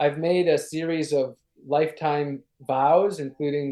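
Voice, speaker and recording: A man with an American accent, an ordinary speaking voice, fairly high pitch, fairly even intonation and a fairly slow pace. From Wisconsin, Ashland on Lake Superior. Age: 30s. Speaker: sustainability activist. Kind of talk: interview.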